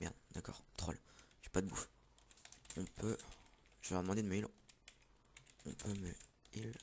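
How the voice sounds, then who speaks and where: With a very deep, low pitch, a man talks at a moderate pace in a monotone, flat intonation, broken by long, frequent pauses. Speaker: gaming youtuber. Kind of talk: gameplay commentary. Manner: loud.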